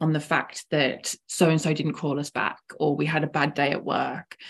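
A woman speaks at a moderate pace in a very deep, low voice. The background is quiet. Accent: English. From England. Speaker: founder of women's network. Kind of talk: casual interview.

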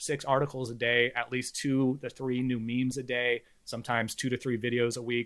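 Using a Californian accent, a man speaks at a moderate pace with a medium pitch. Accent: General American (Californian). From US, California Bay Area. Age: 40s. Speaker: independent media founder. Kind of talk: interview.

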